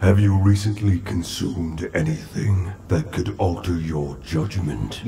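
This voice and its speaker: At a fairly slow pace, a man speaks with a very deep, low pitch over clear background noise. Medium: short film.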